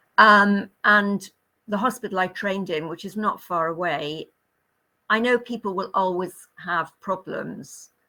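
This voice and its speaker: A woman with a British accent and a medium pitch speaks fairly slowly in a bright, sharp tone with ordinary pitch variation, captured in a very clean recording with a silent background. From Great Britain. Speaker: retired nurse. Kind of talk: interview answer.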